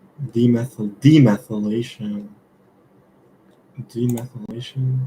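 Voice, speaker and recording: A man's medium-pitched, dark, mellow voice, somewhat breathy and fairly even, at a very slow pace with long, frequent pauses. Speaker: student streaming study sessions. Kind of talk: live study stream, thinking aloud. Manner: halting, self-correcting.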